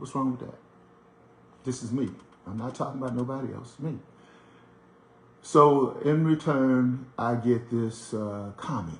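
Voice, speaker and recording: At a fairly slow pace with long, frequent pauses, a man with an American accent talks at a medium pitch, somewhat breathy, with ordinary pitch variation and big swings in loudness. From US, Washington DC. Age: 60s. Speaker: radio show host, commentator. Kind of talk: monologue commentary. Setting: at home. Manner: conversational, with frequent fillers and repetitions.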